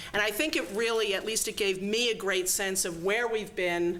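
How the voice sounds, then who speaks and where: Ordinary pitch variation against audible room echo. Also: woman. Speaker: event host introducing a speaker. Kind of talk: speaker introduction at a luncheon. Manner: fast.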